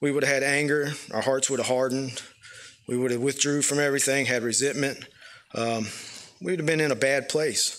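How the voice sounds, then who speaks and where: With a Southern US accent, a man speaks at a moderate pace and a fairly high pitch, his loudness very even and his intonation fairly even. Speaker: church member. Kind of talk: testimony. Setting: church. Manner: halting.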